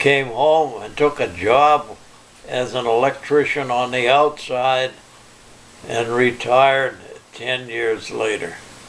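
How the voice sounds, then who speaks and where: Noticeable background noise sits under a man's voice. He speaks at a very slow pace with fairly even intonation. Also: medium pitch for a man. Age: 80s+. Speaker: Navy veteran, retired electrician. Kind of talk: interview answer.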